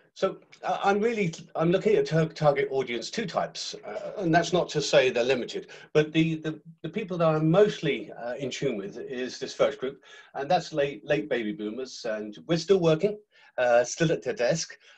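A man speaks at a moderate pace, his pitch fairly high, with lively intonation. It is a normal speaking voice. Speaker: business planner. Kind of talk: webinar presentation. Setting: video call.

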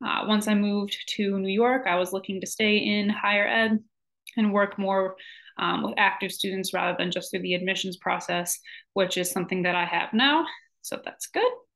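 With an American accent, a woman speaks at a moderate pace and a medium pitch with fairly even intonation against a quiet background. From Michigan. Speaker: graduate student and college advisor. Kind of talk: self-introduction video. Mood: friendly, relaxed. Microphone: webcam.

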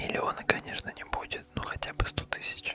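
The man's pace is fairly slow. He speaks in a whisper. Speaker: ASMR content creator. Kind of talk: casual talk to camera about channel goals and mic trouble. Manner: whispered, soft. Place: home room. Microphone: studio mic.

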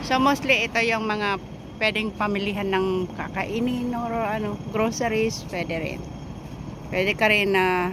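This woman's pitch varies in an ordinary way, and background noise is noticeable. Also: dry sound with no echo. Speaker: vlogger filming her walk. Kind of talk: casual vlog chat. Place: street. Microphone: phone near.

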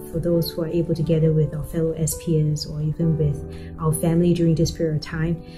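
Clear music plays behind a woman speaking. Her pitch is very deep and low, and her pace is fairly quick. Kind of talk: spoken prayer. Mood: calm, reverent. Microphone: webcam.

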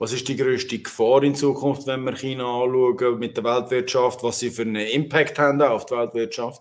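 With hardly any pauses, a man at medium pitch speaks at a moderate pace. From Switzerland. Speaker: talk show host. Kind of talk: casual chat. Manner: animated.

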